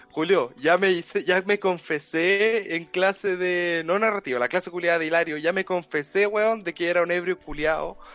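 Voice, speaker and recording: With a Chilean accent, a man speaks at a moderate pace with hardly any pauses. His pitch is high, and his intonation is fairly even. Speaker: podcast co-host. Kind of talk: casual chat.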